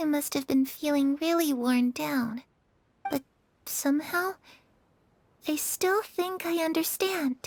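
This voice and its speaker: A female-sounding, put-on character voice with a warm tone comes at a high pitch and a moderate pace. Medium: video game. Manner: soft, sincere, warm.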